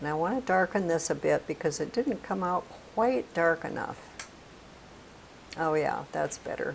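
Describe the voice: At a moderate pace, a woman speaks low in pitch with vocal fry and lively intonation.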